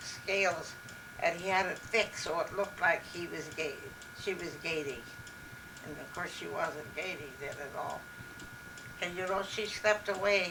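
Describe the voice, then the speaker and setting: Over noticeable background noise, a woman with an Upper Midwest accent speaks at a fairly low pitch with ordinary pitch variation and long, frequent pauses. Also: big swings in loudness. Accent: Upper Midwest American. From Minnesota, USA. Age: 80s+. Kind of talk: interview answer. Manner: slow, hesitant.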